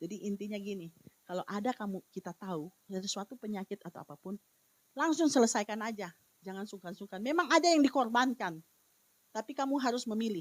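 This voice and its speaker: Fairly high-pitched and lively in intonation, a woman races along at a very fast pace, the sound dry and close with no echo. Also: big swings in loudness. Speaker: evangelist preacher. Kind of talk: sermon. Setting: online church service. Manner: hesitant, many fillers.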